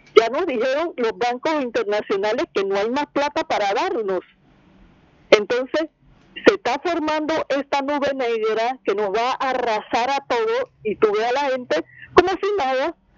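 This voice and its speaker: The speech comes at a fairly slow pace with very wide pitch swings, sounding dry and close with no echo amid noticeable background noise. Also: woman, high pitch for a woman. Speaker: caller. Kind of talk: call-in opinion.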